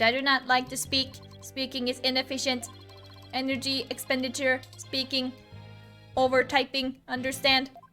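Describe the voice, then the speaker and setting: Using a robotic, put-on character voice at a high pitch, a woman speaks at a moderate pace with long, frequent pauses while clear music plays in the background. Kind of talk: stiff, clipped, formal. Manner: monotone.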